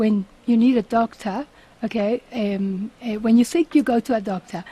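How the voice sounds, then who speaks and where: In a Spanish accent, a woman with a fairly high pitch and a dark, mellow, somewhat breathy tone speaks at a moderate pace with long, frequent pauses, the sound dry and close with no echo. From Uruguay. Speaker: company CEO. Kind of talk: radio interview. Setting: radio studio.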